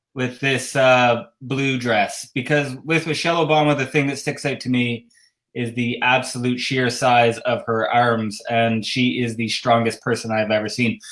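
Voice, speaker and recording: A man's medium-pitched voice with a Canadian accent, fairly slow, with hardly any pauses and fairly even intonation, on a very clean recording with a silent background. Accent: Canadian, says 'a boot'. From Canada, Ottawa. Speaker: cross-stitch designer and show host. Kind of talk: casual livestream chat.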